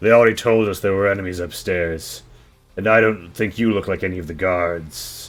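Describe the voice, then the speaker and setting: Using a put-on character voice, a man talks at a moderate pace with a very deep, low pitch. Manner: speaking up to challenge someone.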